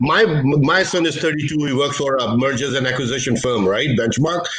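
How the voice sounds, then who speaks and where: Audible room echo surrounds a man speaking with a non-native accent. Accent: foreign. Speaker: investor. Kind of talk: panel discussion. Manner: animated.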